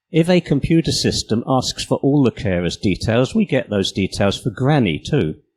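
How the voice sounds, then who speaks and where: A man with a British accent talks at a moderate pace in a medium pitch, with very wide pitch swings, vocal fry and very even loudness, barely pausing. The recording is very clean with a silent background and a dry, close sound with no echo. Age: 60s. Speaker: conference speaker and apprentice preschool teacher. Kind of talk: conference talk.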